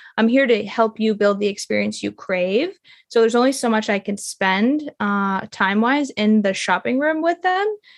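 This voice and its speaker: An unremarkable speaking voice from a woman, fairly high in pitch, at a moderate pace with lively intonation, in dry, close sound with no echo and a quiet background. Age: 30s. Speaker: intimacy and relationship mentor. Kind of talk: interview.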